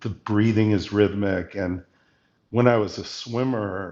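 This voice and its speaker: A man with an ordinary speaking voice talks at a fairly slow pace, his fairly low pitch held in fairly even intonation. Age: 60s. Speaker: pediatric oncologist. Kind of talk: casual chat. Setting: live video stream.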